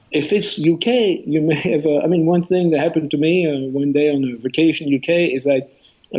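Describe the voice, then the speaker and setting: A man talks at a fairly quick pace in a French accent. His pitch is fairly high. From France. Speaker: author. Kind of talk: interview.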